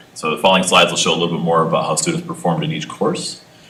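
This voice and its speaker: A man's voice with lively intonation, amid noticeable background noise and audible room echo. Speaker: school administrator presenting to school board. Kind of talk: presentation at school board meeting. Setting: board meeting conference room. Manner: fast.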